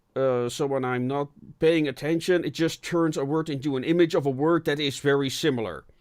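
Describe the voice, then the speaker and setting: A man's fairly high, fairly even voice with a non-native accent at a fairly quick pace, in a very clean recording with a silent background. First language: not English. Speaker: podcast host. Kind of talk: casual chat.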